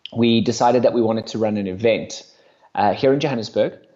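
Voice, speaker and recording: The speaker is a man. He uses ordinary pitch variation. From South Africa. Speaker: LinkedIn sales coach. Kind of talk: podcast interview. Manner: animated.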